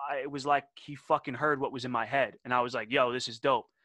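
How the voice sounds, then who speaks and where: Against a quiet background, a man with a New York accent talks at a very fast pace in a bright, sharp tone, the sound dry and close with no echo. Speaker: rapper and podcast host. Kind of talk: casual chat. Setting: video call. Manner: loud.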